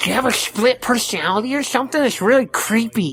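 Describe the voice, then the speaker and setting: A put-on character voice at a fairly high pitch. The delivery comes at a very fast pace. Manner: creepy.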